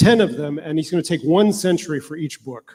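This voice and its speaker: Ordinary pitch variation and a moderate pace in a man's fairly high-pitched voice. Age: 60s. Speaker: researcher on human enhancement and bioethics. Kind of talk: conference panel talk. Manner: halting, many fillers.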